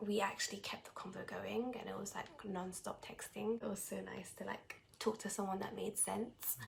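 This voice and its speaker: A woman talks at a moderate pace with a British accent, barely pausing at all. Noticeable background noise runs behind her. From Britain. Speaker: vlogger in international couple. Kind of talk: casual chat.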